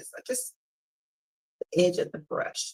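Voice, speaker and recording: A woman speaks loudly. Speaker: painting instructor. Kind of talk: tutorial. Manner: casual, filler-heavy. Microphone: no microphone, using device's built-in mic.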